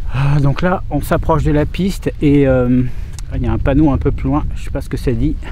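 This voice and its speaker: A man with a Bordeaux accent speaks at a moderate pace in a fairly high pitch, his intonation lively. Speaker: urban explorer vlogger. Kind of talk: casual vlog commentary. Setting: outdoors. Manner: hesitant, many fillers.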